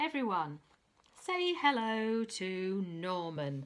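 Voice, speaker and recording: A put-on character voice unfolds very slowly. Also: woman, medium pitch for a woman. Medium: read story.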